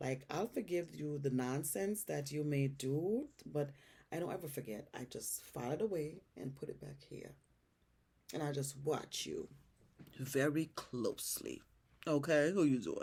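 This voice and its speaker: A woman with a very deep, low pitch speaks at a fairly slow pace. Her tone is dark and mellow and somewhat breathy. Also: ordinary pitch variation. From Jamaica. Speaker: YouTuber. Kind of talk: casual Q&A chat. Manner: halting, many fillers.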